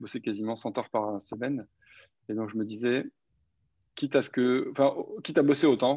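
Against a quiet background, a man with a medium pitch speaks at a fairly quick pace. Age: 30s. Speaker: startup founder and CEO. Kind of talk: interview. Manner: hesitant, many fillers.

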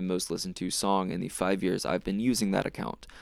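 A man with an unremarkable speaking voice and an American accent, fairly low in pitch with fairly even intonation, on a very clean recording with a silent background. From North Carolina, small town near Charlotte. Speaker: podcast host. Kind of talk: solo monologue review.

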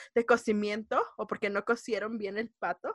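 A woman with a fairly high pitch speaks in a Mexico City accent, recorded with a dry, close sound and no echo. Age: 20s. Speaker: podcast co-host. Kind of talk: casual chat.

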